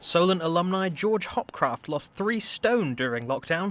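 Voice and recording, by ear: The speaker is a man with a high pitch. He moves at a moderate pace with a fairly bright tone.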